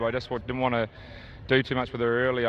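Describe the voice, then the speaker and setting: Medium in pitch, a man speaks with a New Zealand accent. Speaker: harness racing driver. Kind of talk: post-race interview. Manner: hesitant, many fillers.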